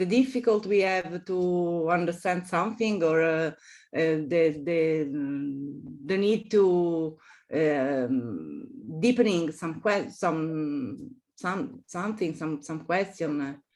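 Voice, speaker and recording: A woman with an Italian accent speaks very slowly in a fairly low voice with lively intonation, on a very clean recording with a silent background. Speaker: architecture professor. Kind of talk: interview. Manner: halting, many fillers and repetitions.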